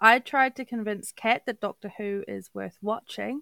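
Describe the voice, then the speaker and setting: On a very clean recording with a silent background, a woman with a New Zealand accent sounds dry and close, with no echo. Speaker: podcast co-host. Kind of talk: casual chat.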